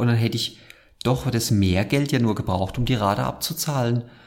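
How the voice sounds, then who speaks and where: Speaking fairly quickly, a man uses a medium pitch and lively intonation. His voice is somewhat breathy. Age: 30s. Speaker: podcast host. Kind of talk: casual chat.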